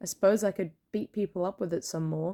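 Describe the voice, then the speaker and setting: The voice has a dark, mellow tone with an Australian accent. It moves at a moderate pace. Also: woman. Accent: mild Australian. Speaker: plushie maker and content creator. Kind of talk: tutorial. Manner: clear enunciation.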